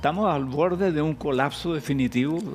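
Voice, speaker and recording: Over background music, a man with a medium-pitched voice talks at a fairly quick pace, his pitch swinging very widely. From Chile. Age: 80s+. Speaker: philosopher and professor. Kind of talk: TV interview answer.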